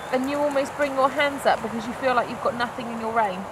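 The pace is moderate. Loud background noise runs throughout. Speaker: riding instructor. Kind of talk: lesson coaching instructions. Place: open country.

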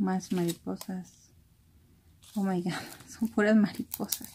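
A soft-spoken woman at a slow pace, medium pitch, fairly even intonation, a dark, mellow tone and a slightly husky edge

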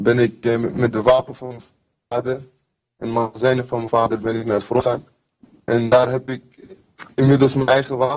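Somewhat breathy, a man speaks with monotone, flat intonation. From Kurdistan. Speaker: fighter. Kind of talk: interview. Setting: video call. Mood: earnest, sometimes smiling. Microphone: video call.

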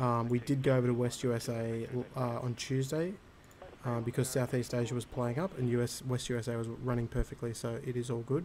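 Fairly quick and fairly even in intonation, a man speaks with an Australian accent. Light background noise runs underneath. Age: 30s. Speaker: flight simulator streamer. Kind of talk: casual chat. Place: home room. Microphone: headset.

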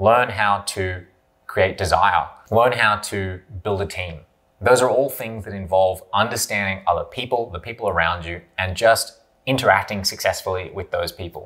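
Against a quiet background, a man with fairly low pitch talks at a moderate pace, with ordinary pitch variation and big swings in loudness. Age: 30s. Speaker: YouTuber and online business entrepreneur; business vlogger. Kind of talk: monologue to camera. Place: home room.

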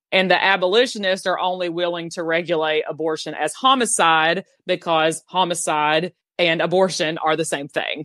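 A woman's fairly low voice in a Southern US accent, dry and close with no echo, with fairly even intonation. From US South. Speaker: abortion abolition activist. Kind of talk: interview.

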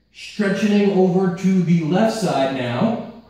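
A man's voice rings out with strong room echo. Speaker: fitness trainer. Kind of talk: workout instruction. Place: gym.

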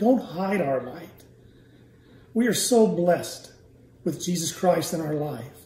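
Audible room echo surrounds this voice. A man talks at a fairly slow pace. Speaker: church elder. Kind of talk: closing prayer. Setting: church. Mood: reverent, eyes closed praying. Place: home room. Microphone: phone near.

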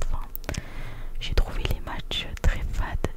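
At a moderate pace, a woman is whispering. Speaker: ASMR content creator. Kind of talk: ASMR close-up reading of viewer comments. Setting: close-up sensitive microphone. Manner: whispered, close to the microphone. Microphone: studio mic.

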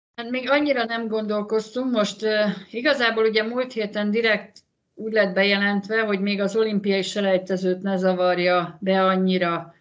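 Over a quiet background, a woman speaks at a moderate pace with fairly even intonation. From Hungary. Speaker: former handball player, mother of athlete. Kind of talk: interview. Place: home room. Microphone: video call.

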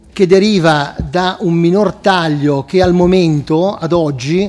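Here a man speaks with a high pitch. His intonation stays fairly even. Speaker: council member presenting budget. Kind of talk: formal council explanation. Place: hall. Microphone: podium.

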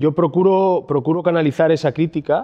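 The background is quiet as a man talks. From Asturias, Spain. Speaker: restaurateur; speaker. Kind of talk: conference talk. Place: hall. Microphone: handheld.

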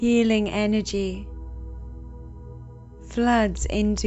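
There is music in the background. A woman speaks in a calm, soothing tone. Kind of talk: guided meditation. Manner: slow, calm, soothing.

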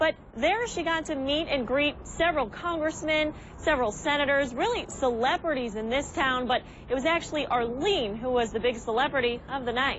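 At a moderate pace, a high-pitched woman speaks in a dry sound with no echo and light background noise. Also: ordinary pitch variation. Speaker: TV news reporter. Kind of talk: TV news field report. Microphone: lapel.

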